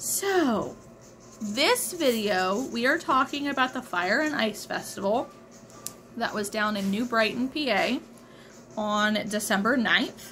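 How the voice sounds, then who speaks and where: Very slowly and with long, frequent pauses, a woman speaks over faint music in the background. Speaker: crochet vendor vlogger. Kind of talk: casual vlog chat. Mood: relaxed, slightly weary. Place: home room. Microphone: phone near.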